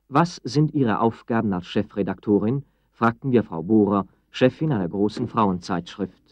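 A man's fairly low voice with lively intonation at a moderate pace, dry with no echo over a quiet background. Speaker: film narrator, interviewer. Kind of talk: 1965 documentary film narration. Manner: formal, clear, even-paced. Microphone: old recording.

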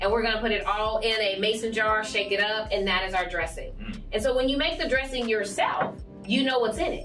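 Over faint background music, a woman speaks at a fairly quick pace with hardly any pauses and ordinary pitch variation. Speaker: cooking show host. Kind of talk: tutorial. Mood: warm, upbeat. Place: studio.

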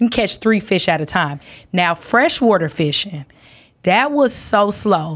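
A woman with an American accent speaks at a medium pitch and a fairly slow pace, with lively intonation and very even loudness. The background is quiet. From South Florida. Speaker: stand-up comedian. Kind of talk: casual chat. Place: studio. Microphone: studio mic.

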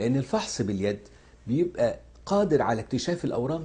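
A man's dark, mellow, somewhat breathy voice in an Egyptian accent at a fairly quick pace. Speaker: cancer surgeon. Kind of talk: health education talk. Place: office.

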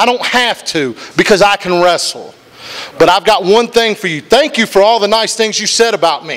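Speaking fairly quickly in a high voice, a man with an American accent shows ordinary pitch variation. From Wyoming County, West Virginia; West Virginia. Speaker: professional wrestler. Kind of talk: wrestling promo. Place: studio. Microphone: handheld.

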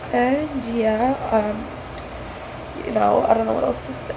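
Fairly quick speech from a woman over noticeable background noise. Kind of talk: casual vlog chat. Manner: congested, blocked-nose voice after surgery. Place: home room. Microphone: webcam.

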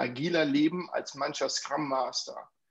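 Man at a fairly slow pace, ordinary pitch variation. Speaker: guest. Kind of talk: discussion contribution. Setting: video call. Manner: talkative, jokey. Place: home room. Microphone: earbuds.

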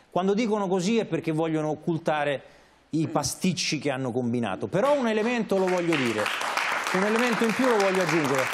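Crowd noise sits behind a man who talks very fast in a high pitch, his pitch swinging very widely while his loudness stays very even. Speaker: journalist and radio director; journalist, radio director. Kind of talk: talk show discussion. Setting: studio. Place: studio. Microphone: lapel.

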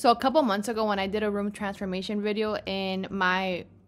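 Faint music plays in the background. Over it, a woman speaks at a moderate pace. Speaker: vlogger. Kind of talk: casual vlog chat. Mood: chatty, animated. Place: home room. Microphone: webcam.

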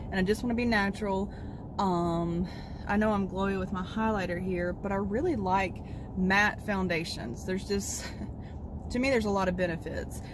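Moderate, fairly even speech from a woman, dry with no echo, over noticeable background noise. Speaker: vlogger. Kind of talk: casual vlog chat. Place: car. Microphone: phone near.

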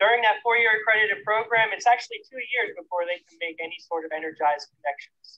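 The background is quiet as a man speaks at a fairly quick pace. His pitch varies in an ordinary way. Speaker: presenter. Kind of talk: safety demonstration presentation. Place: open country.

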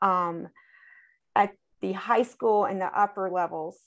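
The speech moves at a fairly slow pace. The background is quiet. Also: woman. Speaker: school board member. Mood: concerned, earnest. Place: home room. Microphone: video call.

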